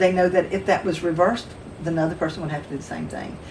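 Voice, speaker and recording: A woman's fairly low voice in a Southern US accent, ordinary pitch variation, noticeable background noise and audible room echo. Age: 60s. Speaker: midwife. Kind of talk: casual chat.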